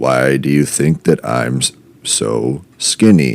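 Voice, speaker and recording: With noticeable background noise behind him, a man talks in a very deep, low, rumbling pitch. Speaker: comedy podcast host. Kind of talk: casual comedic monologue.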